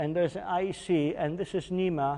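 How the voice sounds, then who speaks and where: A man with a Polish accent, fairly slow pace and ordinary pitch variation. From Poland. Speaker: engineering executive presenter. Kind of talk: technical webinar lecture. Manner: hesitant with fillers.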